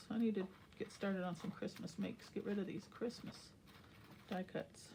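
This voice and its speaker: Her medium-pitched voice has a dark, mellow tone and is somewhat breathy. The woman keeps fairly even intonation at a moderate pace. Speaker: crafting YouTuber. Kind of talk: casual craft tutorial.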